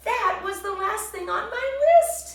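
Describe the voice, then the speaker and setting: Putting on a character voice, a woman speaks in an extremely high, squeaky pitch with a whiny tone at a fairly slow pace, with a slight echo. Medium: read story. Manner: whiny, worried.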